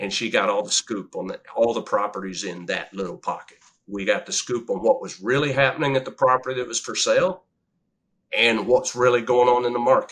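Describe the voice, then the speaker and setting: At a fairly quick pace, a man uses an ordinary speaking voice at a medium pitch with ordinary pitch variation. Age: 60s. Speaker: real estate investor and engineer. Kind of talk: interview. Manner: conversational.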